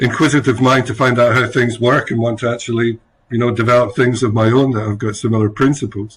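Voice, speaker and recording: In a Scottish accent, a man at medium pitch speaks at a fairly quick pace, somewhat breathy, with monotone, flat intonation. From Scotland, rural village. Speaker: chief scientific officer. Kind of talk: interview.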